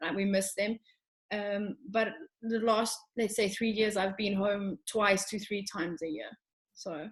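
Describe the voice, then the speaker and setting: A woman with a South African accent speaks at a fairly slow pace. Her medium-pitched voice sounds somewhat breathy. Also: fairly even intonation. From South Africa, Johannesburg. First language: Afrikaans. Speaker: show jumping rider. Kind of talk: casual interview.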